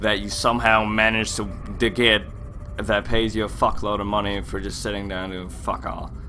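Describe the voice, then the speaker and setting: With music in the background and audible room echo, a man talks at a fairly quick pace. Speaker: gaming YouTuber. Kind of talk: gameplay commentary rant. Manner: casual, rambling with repetitions.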